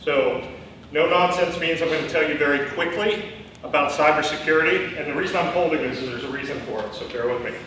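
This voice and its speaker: A man with a fairly high voice talks at a very fast pace with ordinary pitch variation, with audible room echo and noticeable background noise. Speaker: CFO and cybersecurity speaker. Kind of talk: lecture. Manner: loud; animated.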